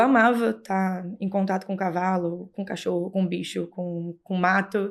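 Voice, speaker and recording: Speaking very slowly with a strong Rio de Janeiro accent, a woman keeps a medium pitch and ordinary pitch variation on a very clean recording with a silent background. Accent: Rio de Janeiro (carioca) accent, still strong. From Brazil, Rio de Janeiro. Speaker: horse rider and breeder. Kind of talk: podcast interview.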